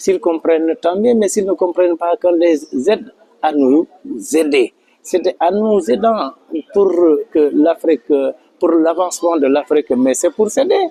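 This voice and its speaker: The voice moves at a fairly slow pace with long, frequent pauses, ordinary pitch variation and very even loudness, in a dry, close sound with no echo. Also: man, high pitch for a man. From Senegal, Casamance. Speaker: community association leader. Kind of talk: interview testimony. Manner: hesitant, with fillers.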